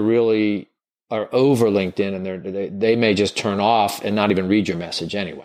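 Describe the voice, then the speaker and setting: A man with a Southern US accent speaks at a moderate pace and a fairly low pitch. The background is quiet. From US South. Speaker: recruiting trainer. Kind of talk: interview conversation.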